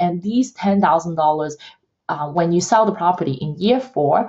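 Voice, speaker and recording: This woman's voice sits at a fairly low pitch and sounds somewhat breathy. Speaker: real estate accountant. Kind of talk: educational explainer to camera. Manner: casual, hesitant with fillers.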